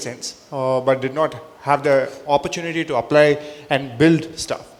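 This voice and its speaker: Over music in the background, a man with a South Indian accent talks at a fairly high pitch with ordinary pitch variation. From India, Chennai. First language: Telugu. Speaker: entrepreneur, panelist. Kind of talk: panel discussion. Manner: halting, many fillers.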